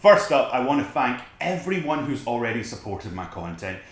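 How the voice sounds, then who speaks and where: A Scottish-accented man at medium pitch, lively in intonation and moderate in pace, with audible room echo. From Scotland. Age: 20s. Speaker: photographer, video blogger. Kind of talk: casual vlog talk to camera. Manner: relaxed.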